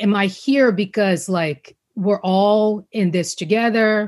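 In a Brazilian accent, a woman speaks at a medium pitch with ordinary pitch variation. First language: Portuguese. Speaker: journalist and public speaker. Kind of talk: casual interview chat.

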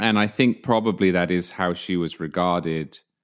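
A man's very deep, low voice, fairly slow, with ordinary pitch variation, on a very clean recording with a silent background. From England. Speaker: political writer and magazine journalist. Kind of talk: casual podcast discussion.

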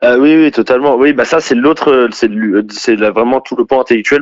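The recording is dry and close, with no echo at all. A man talks at a moderate speed in it. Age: 20s. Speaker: former far-left activist. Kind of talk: testimony. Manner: halting.

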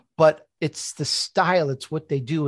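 This man's voice is fairly high-pitched and somewhat breathy, moving at a fairly slow pace. The sound is dry and close with no echo, against a quiet background. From Chicago, US Midwest. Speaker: author and podcast host. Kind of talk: interview.

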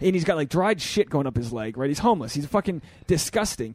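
A man talks at a very fast pace. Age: 30s. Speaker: podcast host and stand-up comedian. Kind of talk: casual chat. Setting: studio with fan in background.

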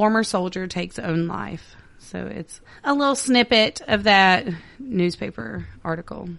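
Against a quiet background, the speaker goes at a very slow pace. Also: woman. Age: 30s. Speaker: podcast co-host. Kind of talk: casual chat with read-out case narration.

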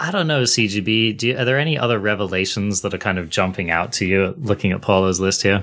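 A man talks at a very fast pace with hardly any pauses. His pitch is fairly low, with ordinary variation. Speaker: podcast host. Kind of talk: casual chat. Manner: talkative.

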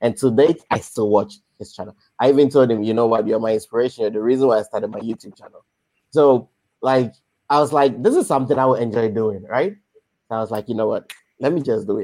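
Here a man speaks at a very fast pace. His medium-pitched voice has a dark, mellow tone. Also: ordinary pitch variation, big swings in loudness. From Ghana. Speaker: musician and content creator. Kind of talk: casual interview.

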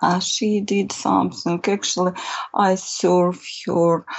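A woman speaks with a Russian accent. Her pitch sits fairly low. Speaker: painter. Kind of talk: interview. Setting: video call. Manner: halting.

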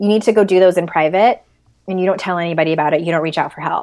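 The recording is very clean with a silent background, and a woman talks at a medium pitch. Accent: American. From San Diego, California. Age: 40s. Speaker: life coach and author. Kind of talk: casual interview.

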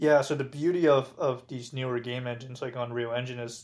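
Fairly even intonation and a moderate pace from a medium-pitched man with an ordinary speaking voice. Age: 20s. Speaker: VR startup founder. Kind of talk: interview.

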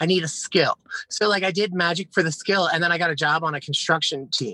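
A man at a high pitch with an American accent, ordinary pitch variation and a very fast pace. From Philadelphia area, Pennsylvania. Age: 30s. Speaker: author and witch. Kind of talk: casual interview chat.

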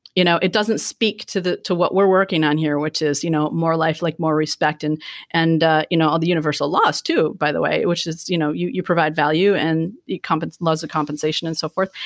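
On a very clean recording with a silent background, a woman speaks fairly quickly with hardly any pauses, a fairly low pitch and fairly even intonation. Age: 50s. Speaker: family lawyer and business owner. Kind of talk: interview conversation. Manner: halting, many fillers.

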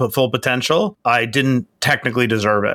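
Speaking at a moderate pace with a New York accent, a man holds a medium pitch and fairly even intonation, his tone bright and sharp on a very clean recording with a silent background. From Queens, New York. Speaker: entrepreneur and author. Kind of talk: interview.

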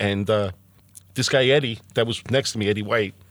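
Talking at a moderate pace, a man with medium pitch speaks with a New Jersey accent. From Hoboken, New Jersey. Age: 50s. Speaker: firefighter and volunteer EMT. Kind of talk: interview testimony.

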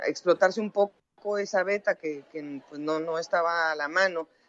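A woman talks at a fairly low pitch, with ordinary pitch variation. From Mexico. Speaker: sports journalist and commentator. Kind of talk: interview. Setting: phone call. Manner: halting.

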